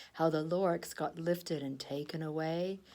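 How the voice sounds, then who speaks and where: A woman puts on a nasal character voice at a fairly low pitch. She keeps a moderate pace with monotone, flat intonation. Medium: read story. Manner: secretive.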